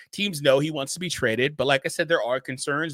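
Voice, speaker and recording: On a very clean recording with a silent background and a dry, close sound with no echo, a man with a fairly high pitch speaks at a fairly quick pace. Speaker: basketball commentator. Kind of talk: casual video commentary. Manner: fast; animated.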